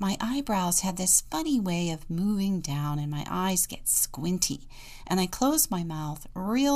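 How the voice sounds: The clip carries a natural reading voice.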